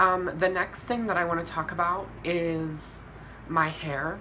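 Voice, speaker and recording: Over noticeable background noise and audible room echo, a woman talks at a fairly slow pace with fairly even intonation. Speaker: vlogger. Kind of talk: video diary update. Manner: casual, with fillers.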